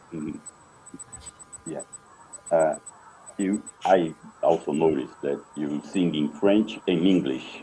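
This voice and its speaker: With music in the background, a man with a very deep, low pitch speaks at a very slow pace, using ordinary pitch variation and long, frequent pauses. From Brazil, Rio de Janeiro. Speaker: interviewer. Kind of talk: interview.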